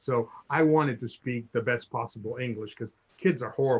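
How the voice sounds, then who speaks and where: A man speaks with a Spanish accent. His pitch sits in the medium range. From Cuba. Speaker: guest sharing life story. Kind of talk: casual chat. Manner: halting.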